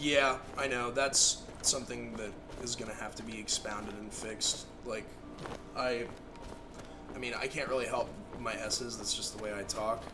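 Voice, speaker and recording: Over background music and with room echo, a man talks at a moderate pace in a medium-pitched, flat monotone, leaving long, frequent pauses. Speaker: gaming streamer. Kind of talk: casual chat.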